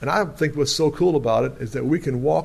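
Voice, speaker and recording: This man's voice sits at a medium pitch with ordinary pitch variation and a somewhat breathy quality. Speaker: preacher. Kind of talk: sermon. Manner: animated.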